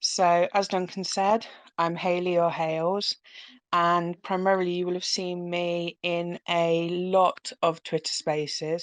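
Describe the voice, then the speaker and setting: In a British accent, a woman speaks at a fairly slow pace and a fairly low pitch, with a dry, close sound with no echo and a quiet background. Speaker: crypto community team member. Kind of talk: casual self-introduction on live audio chat.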